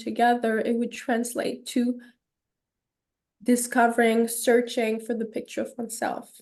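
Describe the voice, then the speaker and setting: In a French Canadian accent, a woman talks at a high pitch and a moderate pace. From Quebec, Canada (suburb of Montreal). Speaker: holistic counselor. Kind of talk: podcast interview.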